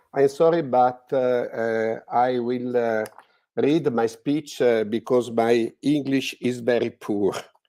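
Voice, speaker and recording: A man's dark, mellow tone with an Italian accent, fairly even intonation and a very slow pace. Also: medium pitch for a man, very clean recording, silent background. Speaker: art historian speaker. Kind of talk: reading aloud. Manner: halting.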